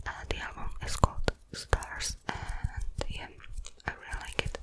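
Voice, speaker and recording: Noticeable background noise fills the clip. Over it, a woman whispers very slowly. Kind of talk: ASMR whispered ramble. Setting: close-up microphone. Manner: whispered.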